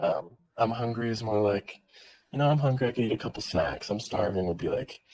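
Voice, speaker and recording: Speaking at a fairly quick pace, a man with an American accent uses a medium pitch and ordinary pitch variation. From California. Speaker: worker with kids. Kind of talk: casual chat. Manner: eloquent.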